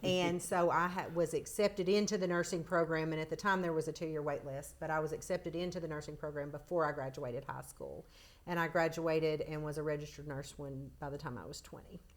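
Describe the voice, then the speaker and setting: A woman with a very deep, low pitch and a Tennessee accent talks at a very fast pace with hardly any pauses and fairly even intonation. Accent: Southern US (Tennessee). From US South, Chattanooga, Tennessee. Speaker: emergency nurse manager. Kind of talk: podcast interview.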